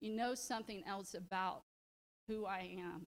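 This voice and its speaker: A woman speaks in a Southern US accent at a fairly high pitch. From US South. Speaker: leadership program participant, public defender. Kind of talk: presentation. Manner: animated.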